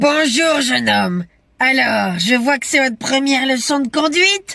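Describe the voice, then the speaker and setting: The voice is high and clearly a put-on character. Its pace stays moderate. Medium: comedy sketch. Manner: theatrical, teasing.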